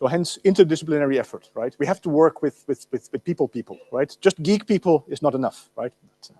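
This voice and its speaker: Fairly quick speech from a man with a Dutch accent, fairly high pitch and a dark, mellow tone, big swings in loudness, hardly any pauses, and a dry, close sound with no echo. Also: ordinary pitch variation. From Netherlands. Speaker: university lecturer. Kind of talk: lecture. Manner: animated, with many fillers and repetitions. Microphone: loud, echoing amplification.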